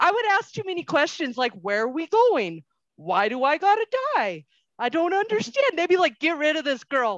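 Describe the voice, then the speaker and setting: In a dry, close sound with no echo, a woman with an American accent speaks at a high pitch with very wide pitch swings. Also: moderate pace. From US Southwest. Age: 40s. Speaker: podcast host. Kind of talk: casual interview chat.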